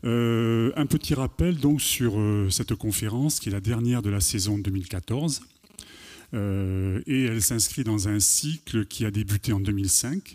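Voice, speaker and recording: A man speaks in a fairly low voice with a dark, mellow tone. His pitch varies in an ordinary way. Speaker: event organizer. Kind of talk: formal introduction. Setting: stage with audience. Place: stage. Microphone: handheld.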